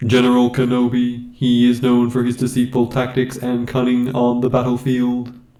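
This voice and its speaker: A put-on robotic character voice delivers lines at a moderate pace with hardly any pauses and monotone, flat intonation. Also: man, medium pitch for a man. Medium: tutorial demo.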